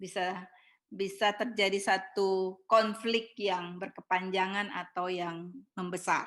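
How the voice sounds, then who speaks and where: Very slow, monotone, flat speech plays over a quiet background. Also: woman. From Ambon, eastern Indonesia. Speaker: preacher. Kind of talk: sermon. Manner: high-pitched tone.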